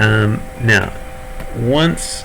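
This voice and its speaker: In a New Zealand accent, a man speaks with lively intonation at a fairly low pitch, with audible room echo and noticeable background noise. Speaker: gaming streamer. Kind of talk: gameplay tutorial. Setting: live stream. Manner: casual, hesitant with fillers.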